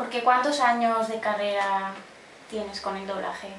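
Against noticeable background noise, a woman with a fairly high pitch talks at a fairly slow pace with fairly even intonation. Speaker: interviewer. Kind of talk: interview questions.

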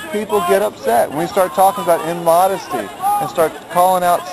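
Crowd noise fills the background as a man with a high pitch talks at a fairly quick pace, the sound dry with no echo. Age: 40s. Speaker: street preacher. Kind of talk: open-air street preacher arguing campus free-speech rights with a campus officer. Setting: outdoors on a college campus. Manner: earnest, polite but insistent, repeating 'sir' while pressing his constitutional case; halting, stammering repetitions. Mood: calm but insistent pleading. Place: open country. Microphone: phone near.

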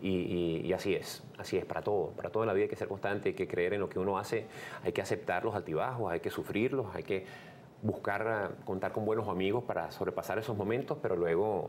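Over light background noise, a man with a fairly low pitch talks at a very fast pace with ordinary pitch variation. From Venezuela. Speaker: radio host and comedian. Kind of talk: interview answer. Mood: earnest, serious. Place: studio.

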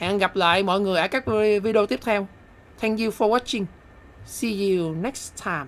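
Pausing long and often, a woman speaks at a medium pitch with ordinary pitch variation. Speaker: gaming youtuber. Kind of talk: live game commentary, casual and comedic. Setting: solo voiceover recorded over gameplay. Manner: animated, excitable; fast, chatty, bursts of exclamation when a move lands.

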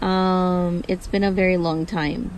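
Very slowly, a woman speaks in a dry sound with no echo. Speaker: car-living vlogger. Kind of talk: casual vlog chat. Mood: confessional, amused, hesitant. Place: car.

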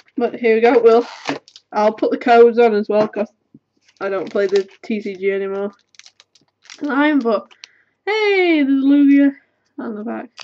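A woman with a British accent and a fairly high pitch, lively intonation, a moderate pace, long, frequent pauses and big swings in loudness. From UK. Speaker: YouTuber. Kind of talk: casual chat, card opening. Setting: webcam at home. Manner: rambling, casual. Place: home room.

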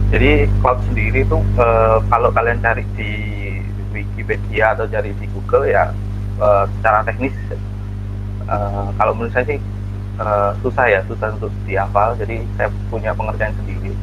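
A man speaks at a moderate pace as noticeable background noise carries on. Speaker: network engineer. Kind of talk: talk. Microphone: video call.

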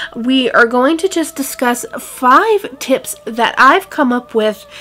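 A woman's raised, projected voice at a very slow pace, with faint music in the background. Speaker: paranormal vlogger. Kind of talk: casual vlog chat. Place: home room. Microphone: phone near.

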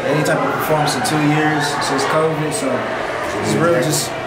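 A man at a moderate pace over loud background noise. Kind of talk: casual vlog chat. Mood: relaxed, confident. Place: station. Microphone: camera far.

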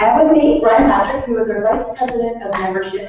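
With ordinary pitch variation, the voice comes through strong room echo and light background noise. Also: woman. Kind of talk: presentation to small audience. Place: meeting room. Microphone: camera far.

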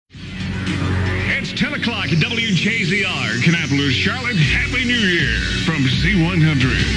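Loud background noise sits under speech at a fairly slow pace with hardly any pauses. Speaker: radio DJ. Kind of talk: top 40 radio DJ patter. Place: studio. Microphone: studio mic.

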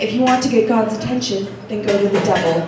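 A woman talks at a fairly quick pace with fairly even intonation. Audible room echo and noticeable background noise surround her voice. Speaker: open mic poet. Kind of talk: poetry reading. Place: cafe. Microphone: camera far.

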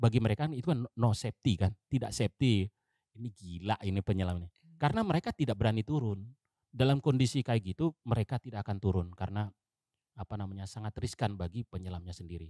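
Over a quiet background, a man speaks at a very fast pace with fairly low pitch and ordinary pitch variation. His tone is dark and mellow, and the sound is dry with no echo. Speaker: navy diver; guest. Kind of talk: interview storytelling. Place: studio. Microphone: studio mic.

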